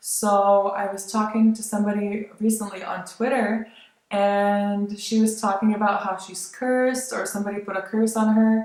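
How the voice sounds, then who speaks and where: Using an American accent, a woman speaks at a moderate pace and a medium pitch in a monotone, flat intonation, with big swings in loudness. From born in Lithuania, grew up largely in the United States. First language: Lithuanian. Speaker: vlogger. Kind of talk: casual vlog monologue. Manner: casual, hesitant with fillers.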